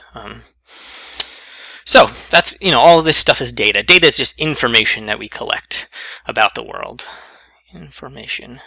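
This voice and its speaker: A man talks with big swings in loudness and long, frequent pauses. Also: moderate pace. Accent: American. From US, Eastern Pennsylvania. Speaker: statistics teacher. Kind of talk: lecture. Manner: casual, hesitant with many fillers.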